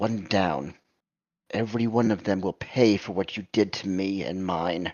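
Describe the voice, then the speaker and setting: A man puts on a gruff character voice at a fairly low pitch. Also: moderate pace, ordinary pitch variation. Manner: threatening, vengeful.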